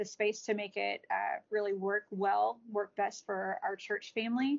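A woman speaks with an American accent at a fairly slow pace. It is an ordinary speaking voice at a medium pitch. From Texas, DeSoto. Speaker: adoptive mother and children's author. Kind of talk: interview.

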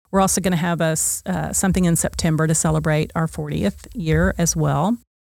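A woman speaks at a fairly quick pace with an American accent. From Oklahoma City, US. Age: 60s. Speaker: nonprofit founder and director. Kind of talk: interview. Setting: studio.

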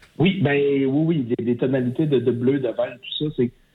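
This is an unremarkable speaking voice at a moderate pace. Its intonation stays fairly even. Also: man. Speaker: film director. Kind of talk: interview.

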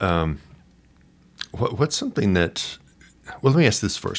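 The speaker is a man talking at a moderate pace. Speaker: podcast host. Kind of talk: interview conversation. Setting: studio.

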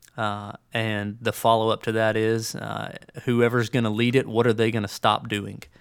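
A man with an Alabama accent, medium pitch, moderate pace and monotone, flat intonation. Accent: US Southern (Alabama). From Birmingham, Alabama. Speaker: executive pastor. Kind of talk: interview conversation. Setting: studio.

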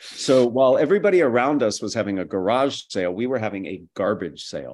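A man's medium-pitched voice at a moderate pace. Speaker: university lecturer and author. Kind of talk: interview, conversational.

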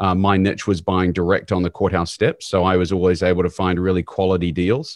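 Very deep, low male voice at a fairly quick pace, fairly even in intonation, with a dry, close sound and no echo. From New Zealand. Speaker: real estate investor. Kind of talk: interview.

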